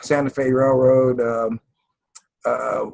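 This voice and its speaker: A man in an American accent speaks at a very slow pace. Music plays in the background. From Kansas City, Kansas. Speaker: environmental justice community organizer. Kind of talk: interview answer.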